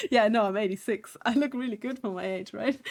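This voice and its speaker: With a German accent, a woman talks at medium pitch with ordinary pitch variation. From southern Germany. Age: 30s. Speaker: digital artist streamer. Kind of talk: casual live stream chat.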